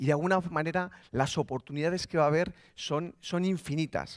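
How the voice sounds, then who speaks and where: The voice moves through an ordinary range of pitch against a quiet background. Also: man. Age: 30s. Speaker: digital business executive; keynote speaker. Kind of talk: motivational talk. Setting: stage with audience. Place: stage. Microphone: headset.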